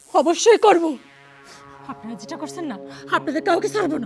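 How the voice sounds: Putting on a character voice, a woman speaks at an extremely high pitch with vocal fry, lively intonation and a fairly quick pace, over faint music in the background. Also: slightly mellow tone.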